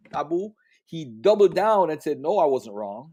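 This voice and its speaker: A fairly high male voice, dark and mellow in tone. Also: very clean recording, silent background. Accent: Jamaican. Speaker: religious debater. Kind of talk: livestream discussion.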